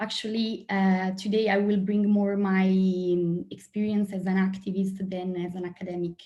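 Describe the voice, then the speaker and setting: A woman with an Italian accent speaks at a moderate pace and a medium pitch. Her tone is dark and mellow, and somewhat breathy. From Italy. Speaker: sociologist and activist. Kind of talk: panel talk.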